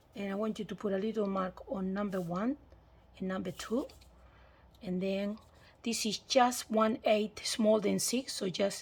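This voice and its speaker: The recording is very clean with a silent background. On it, a woman's voice sounds somewhat breathy. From Australia. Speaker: papercraft demonstrator. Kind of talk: tutorial.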